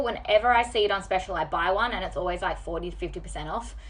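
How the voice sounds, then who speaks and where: A woman's medium-pitched, animated voice with lively intonation and vocal fry. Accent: Australian. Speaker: beauty vlogger. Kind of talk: makeup tutorial.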